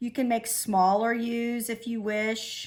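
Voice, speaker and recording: A somewhat breathy woman talks at a very slow pace and a fairly high pitch. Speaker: elementary school art teacher. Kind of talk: tutorial.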